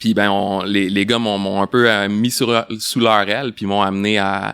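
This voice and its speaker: This man's fairly low voice moves at a moderate pace in a flat monotone. The recording is very clean with a silent background and a dry, close sound with no echo. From Quebec, Laval. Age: 40s. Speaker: bicycle industry sales representative. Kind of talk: podcast interview. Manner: hesitant, many fillers and repetitions.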